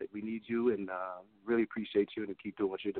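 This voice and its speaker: This man has a plain, everyday voice with an American accent. His pitch is medium and his intonation fairly even. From Connecticut. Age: young. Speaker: saxophonist. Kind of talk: interview.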